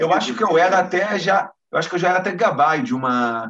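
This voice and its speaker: A man talks with very wide pitch swings. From Brazil, Rio de Janeiro. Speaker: military lawyer. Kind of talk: interview.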